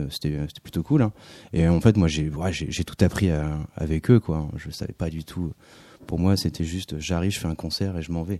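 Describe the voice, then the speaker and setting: A man's very deep, low voice with a dark, mellow tone, fairly even intonation, and a moderate pace, in a dry, close, very clean recording with a silent background and no echo. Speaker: singer-songwriter. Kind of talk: radio interview. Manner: halting, hesitant.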